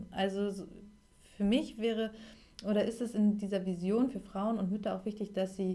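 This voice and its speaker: Speaking at a moderate pace, a woman has a medium-pitched voice with a dark, mellow tone. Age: 30s. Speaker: life coach. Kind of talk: interview.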